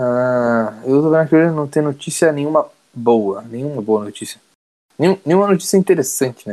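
This man's voice has a dark, mellow tone and a fairly high pitch. He talks at a moderate pace with lively intonation. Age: 20s. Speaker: podcast co-host. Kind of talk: casual chat.

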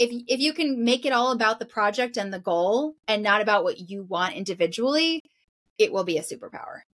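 Intonation is lively and the pace fairly quick in a plain, everyday voice. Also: woman, fairly high pitch for a woman. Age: 40s. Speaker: professional organizer. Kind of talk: casual chat.

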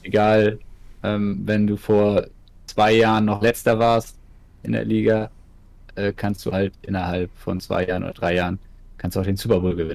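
Speaking with a northern German accent, a man talks in a fairly low voice at a moderate pace, in monotone, flat intonation with long, frequent pauses. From northern Germany, Ratzeburg. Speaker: streamer. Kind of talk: casual chat.

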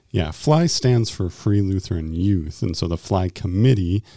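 A man at a fairly low pitch and moderate pace, with lively intonation and a dark, mellow tone, on a very clean recording with a silent background and a dry, close sound with no echo. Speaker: youth ministry director. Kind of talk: casual chat.

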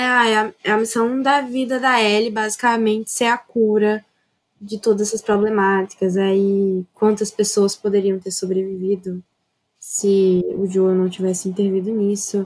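At a moderate pace, a woman with a plain, everyday voice speaks at a fairly high pitch with fairly even intonation. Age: young. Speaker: architecture student, gamer. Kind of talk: casual chat.

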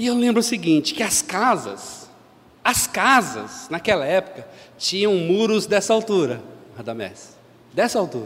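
A man's animated, high-pitched voice at a fairly slow pace, with very wide pitch swings and long, frequent pauses. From Brazil, São Paulo. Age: 50s. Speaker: lay preacher. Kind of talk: sermon.

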